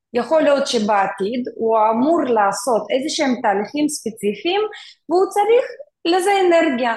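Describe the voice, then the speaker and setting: A woman's high-pitched voice with very wide pitch swings and very even loudness. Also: moderate pace. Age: 40s. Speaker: mentor and tech worker. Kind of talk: interview conversation.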